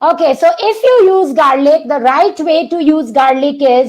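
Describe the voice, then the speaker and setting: A loud woman's voice at a fairly slow pace, with ordinary pitch variation. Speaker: doctor giving a health webinar. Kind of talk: online masterclass webinar. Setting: online video session. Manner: animated, engaging the audience.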